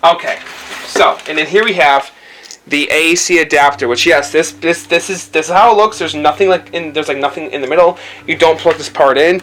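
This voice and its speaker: A man with a fairly high voice and ordinary pitch variation speaks at a moderate pace amid noticeable background noise. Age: 20s. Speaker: video game console reviewer. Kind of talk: casual video review. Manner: halting, many fillers and repetitions.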